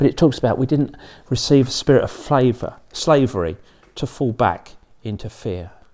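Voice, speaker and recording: The voice has vocal fry and lively intonation. The recording is very clean, with a silent background. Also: man, medium pitch for a man, moderate pace. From England. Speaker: pastor. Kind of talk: sermon. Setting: church. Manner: halting.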